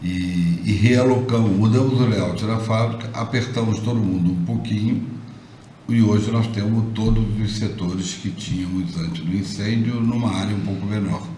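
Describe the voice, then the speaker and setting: A man's fairly low voice at a fairly slow pace, with ordinary pitch variation, audible room echo and noticeable background noise. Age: 70s. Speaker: business owner. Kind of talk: interview.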